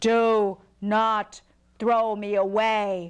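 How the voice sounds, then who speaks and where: A put-on character voice, fairly high in pitch, with monotone, flat intonation. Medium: read story.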